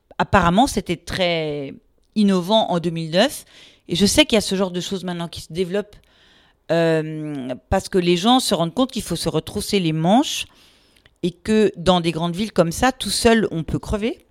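On a very clean recording with a silent background, a woman speaks with an unremarkable speaking voice. Her pitch is fairly low, her pace moderate, and her pitch variation ordinary. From France, Paris region. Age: 50s. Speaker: law professor. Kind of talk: casual interview.

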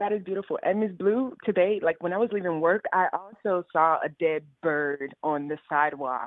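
Hardly pausing at all, the speaker keeps a moderate pace. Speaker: caller. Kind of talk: call-in conversation. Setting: phone call. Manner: halting.

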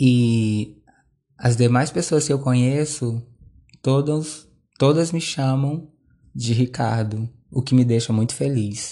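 In a dark, mellow tone and medium pitch, a man speaks at a very slow pace with fairly even intonation and long, frequent pauses against a quiet background. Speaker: podcaster. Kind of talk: personal monologue. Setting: at home.

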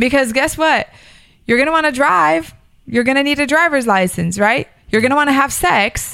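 Here a woman with an American accent uses a raised, projected voice that is high-pitched, with a bright, sharp tone. Her intonation is lively, her loudness very even, and her pace moderate. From Miami, Florida. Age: 30s. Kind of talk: casual chat.

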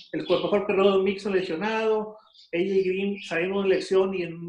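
A man's moderately paced speech carries audible room echo. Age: 40s. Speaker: football fan guest. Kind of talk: casual sports chat.

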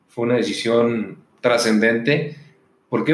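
A man's medium-pitched voice proceeds at a fairly slow pace, its pitch varying in an ordinary way. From Mexico, Guadalajara, Jalisco. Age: 40s. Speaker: business chamber president. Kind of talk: interview. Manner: hesitant, with fillers.

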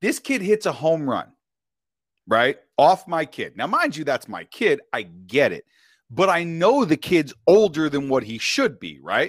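A man with a high pitch talks at a fairly slow pace. His pitch swings very widely and his loudness shifts a lot. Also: dry, close sound with no echo. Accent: New York. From New York. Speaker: author and podcaster. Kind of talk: casual chat. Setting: online call. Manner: animated.

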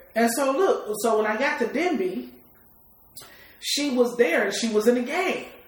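A woman's fairly high voice, lively in intonation and fairly slow, with noticeable background noise. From Detroit East Side, US. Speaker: rapper. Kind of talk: casual interview. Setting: at her home.

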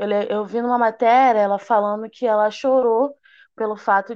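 Her pitch moves in an ordinary way as this woman talks at a fairly slow pace. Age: 20s. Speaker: hairdresser. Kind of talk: interview.

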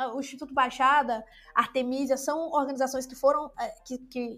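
A woman's high voice comes at a moderate speed. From Brazil, interior of Maranhão. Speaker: podcast host. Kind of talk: casual chat.

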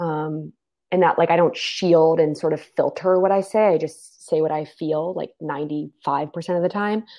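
Speaking at a fairly slow pace, a woman uses a normal speaking voice with a fairly low pitch and fairly even intonation. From US Mid-Atlantic, Maryland suburbs of Washington, D.C. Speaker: life and leadership coach. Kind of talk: interview.

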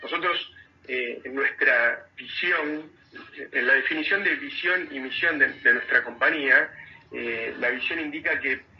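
A man with a Rioplatense accent speaks at a fairly slow pace over noticeable background noise. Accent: Argentine Rioplatense Spanish. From Argentina, Mar del Plata. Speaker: tech company CEO. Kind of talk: radio interview. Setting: radio. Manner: halting, frequent repetitions and fillers.

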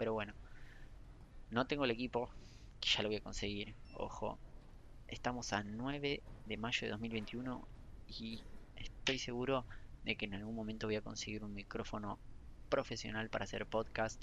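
Long, frequent pauses break up a man's speech. He keeps a moderate pace, a medium pitch and fairly even intonation. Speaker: podcaster and gaming news creator. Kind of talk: casual solo chat. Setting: library, then a bar. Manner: halting, self-correcting. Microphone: poor recording setup, problems with audio.

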